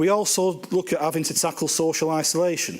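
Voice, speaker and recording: A man speaks in a Lancashire accent. Room echo is audible. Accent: Bolton. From northern England, Bolton. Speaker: housing organisation chief executive. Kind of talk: conference talk. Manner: casual, hesitant with fillers.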